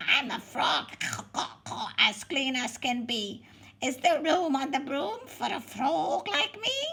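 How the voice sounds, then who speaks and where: A croaky, high-pitched, female-sounding put-on character voice at a fairly slow pace. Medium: read story.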